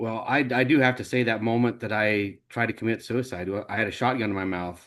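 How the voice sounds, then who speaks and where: A man speaks with fairly even intonation in an American accent, in an ordinary speaking voice. The background is quiet. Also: medium pitch for a man, fairly quick pace. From Idaho, US. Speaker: nonprofit founder. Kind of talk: interview.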